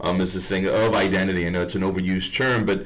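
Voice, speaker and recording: A man talks at a moderate pace in a very deep, low voice. His pitch varies in an ordinary way, and the room echo is audible. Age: 40s. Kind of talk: casual chat. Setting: radio studio.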